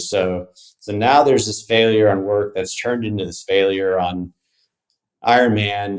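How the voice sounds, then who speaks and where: A man at a moderate pace, fairly low in pitch, an ordinary speaking voice. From Texas, Dallas (born in South Africa, moved at 8). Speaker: entrepreneur and endurance athlete. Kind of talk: podcast interview. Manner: casual, with many repetitions and fillers.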